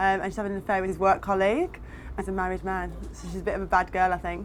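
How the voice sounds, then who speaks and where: A woman talks at a very fast pace in a Birmingham accent. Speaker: actress. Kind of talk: behind-the-scenes interview.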